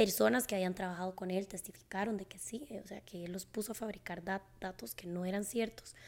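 In a very clean recording with a silent background, a woman with a plain, everyday voice speaks at a moderate pace and medium pitch with fairly even intonation. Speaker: psychologist podcast host. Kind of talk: casual interview chat; scripted outro.

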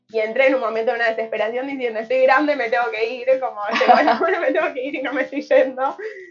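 With noticeable background noise behind her, a woman talks at a very fast pace and a high pitch with ordinary pitch variation. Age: 20s. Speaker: radio host. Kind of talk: casual chat.

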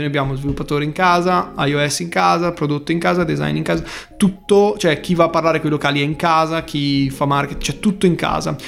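A man's fairly high voice at a fairly quick pace, over noticeable background noise. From Bergamo, northern Italy. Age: young. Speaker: startup founder. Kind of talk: interview. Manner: animated.

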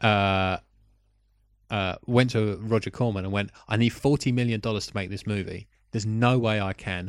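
With a British accent, a man speaks at a moderate pace and a fairly low pitch, his intonation fairly even, on a very clean recording with a silent background. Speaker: film podcast co-host. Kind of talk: casual chat.

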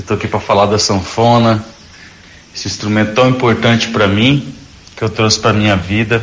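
Despite long, frequent pauses, this man talks at a fairly quick pace, his fairly low voice held in a monotone, flat intonation. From Mato Grosso do Sul, Dourados. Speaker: accordionist. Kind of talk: recorded message.

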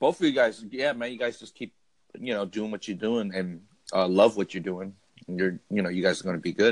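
A man's fairly low voice at a fairly quick clip, with big swings in loudness, ordinary pitch variation and a normal speaking voice. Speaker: podcaster. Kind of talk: casual chat. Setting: phone call.

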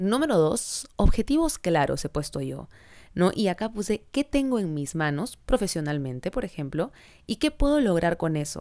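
At a moderate pace, a woman with a dark, mellow tone speaks at medium pitch with very wide pitch swings, on a very clean recording with a silent background. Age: 30s. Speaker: podcast host and social media creator. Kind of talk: casual monologue.

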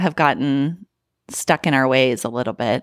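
A woman with an American accent is heard in a dry, close recording with no echo. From Colorado, Thornton. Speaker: mother sharing a personal story of trauma. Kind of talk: casual interview about personal experience. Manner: hesitant, many fillers.

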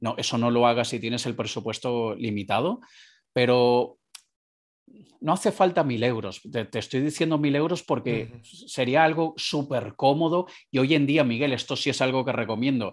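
Here a man uses a plain, everyday voice at medium pitch with ordinary pitch variation and a moderate pace. The recording is very clean, with a silent background. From Venezuela (Caracas). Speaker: entrepreneur, digital marketing consultant. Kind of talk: interview.

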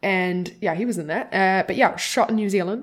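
Over a very clean recording with a silent background, a woman in a Scottish accent speaks at medium pitch in an animated tone. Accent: Scottish-type. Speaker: podcast co-host. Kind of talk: casual chat. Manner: animated, laughs often.

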